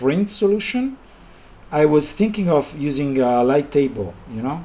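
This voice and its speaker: A man talks with lively intonation in an Italian accent. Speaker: illustrator and designer. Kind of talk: live stream commentary while drawing. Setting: live stream. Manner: halting, with many pauses.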